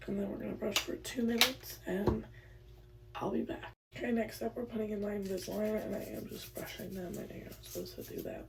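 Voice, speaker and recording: Over noticeable background noise and audible room echo, a woman with an American accent talks at a very fast pace, her loudness swinging a lot. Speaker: lifestyle vlogger. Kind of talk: get ready with me vlog. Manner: casual, filler-heavy.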